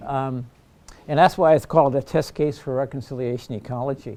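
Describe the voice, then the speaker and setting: Speaking at a fairly quick pace, a man delivers the lines. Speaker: professor. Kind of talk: lecture. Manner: fast; halting.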